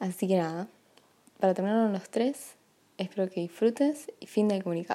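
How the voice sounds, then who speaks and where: A woman speaks with a Rioplatense accent in a dark, mellow tone. Her pitch varies in an ordinary way, with long, frequent pauses. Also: medium pitch for a woman, moderate pace, big swings in loudness. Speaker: partner making a gift podcast. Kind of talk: personal recorded message. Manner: casual, hesitant with fillers.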